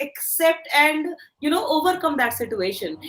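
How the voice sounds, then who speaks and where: A woman with an Indian accent and a high-pitched voice. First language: Hindi. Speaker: career coach. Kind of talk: motivational talk.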